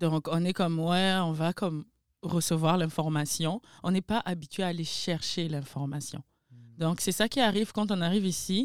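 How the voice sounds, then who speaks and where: On a very clean recording with a silent background and a dry, close sound with no echo, a woman with a normal speaking voice and a fairly low pitch talks at a moderate pace, with ordinary pitch variation and very even loudness. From Republic of Congo, Pointe-Noire. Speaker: events coordinator. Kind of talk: casual chat.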